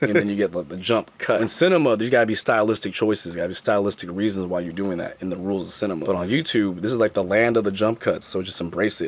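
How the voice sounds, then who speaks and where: Noticeable noise fills the background. The voice talks fairly quickly, and its pitch varies in an ordinary way. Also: man. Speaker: YouTuber. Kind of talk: casual vlog talk to camera. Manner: casual, slangy, repetitive phrasing.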